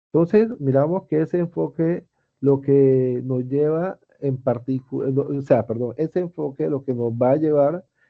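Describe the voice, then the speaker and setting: This man has an ordinary speaking voice at a medium pitch with ordinary pitch variation. He talks at a fairly slow pace. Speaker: teacher. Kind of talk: online class lecture.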